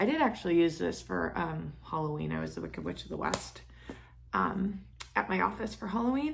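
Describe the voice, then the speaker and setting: A woman talks at a fairly quick pace, with noticeable background noise in the recording. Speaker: beauty vlogger. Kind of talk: casual talk to camera.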